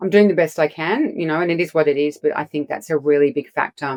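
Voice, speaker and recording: Speaking very fast, a woman with an Australian accent has a very deep, low voice. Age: 50s. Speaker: clinical nutritionist. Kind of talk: casual chat. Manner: fast, halting with many restarts.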